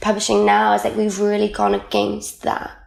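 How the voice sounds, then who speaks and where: A woman with a South Wales accent is heard with audible room echo and noticeable background noise. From Wales, Caerphilly. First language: Welsh. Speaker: magazine editor and writer. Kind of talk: casual interview chat. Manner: animated.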